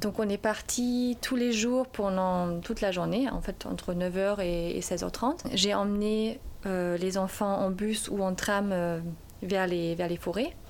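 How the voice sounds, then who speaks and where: The speaker talks at a very slow pace, with very even loudness and fairly even intonation. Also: woman, medium pitch for a woman. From Germany. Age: 30s. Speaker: primary school teacher. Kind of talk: interview testimony. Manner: halting.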